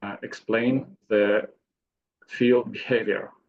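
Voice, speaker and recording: At a very slow pace, a man with a non-native accent speaks at a medium pitch with fairly even intonation. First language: not English. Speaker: seminar audience member asking a question. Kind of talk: audience question. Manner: halting, broken English.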